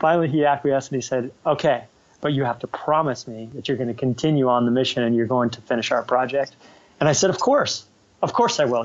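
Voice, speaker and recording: A man with an American accent speaks at a fairly quick pace in a plain, everyday voice, his medium pitch held to fairly even intonation. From United States. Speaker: ocean conservation activist. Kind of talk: interview. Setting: video call. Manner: casual.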